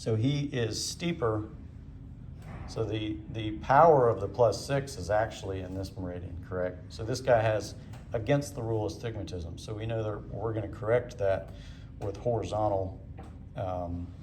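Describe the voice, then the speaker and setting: A man with a fairly low pitch speaks at a moderate pace with ordinary pitch variation. The room echo is audible. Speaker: ophthalmology teacher. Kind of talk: lecture demonstration.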